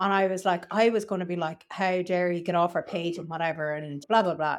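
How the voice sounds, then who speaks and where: A woman's medium-pitched voice with an Irish accent. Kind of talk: casual chat.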